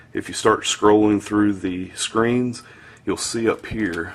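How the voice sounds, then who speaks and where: This man talks very slowly in a Southern US accent. His pitch is fairly low and moves with ordinary variation. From US South. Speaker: tech reviewer. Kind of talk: product review tutorial. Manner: casual, filler-heavy.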